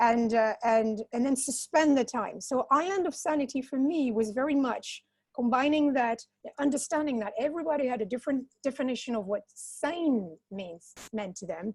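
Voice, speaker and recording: At a moderate pace, a woman with a non-native accent speaks high-pitched with lively intonation. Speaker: social entrepreneur. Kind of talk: panel discussion. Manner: halting, many repetitions.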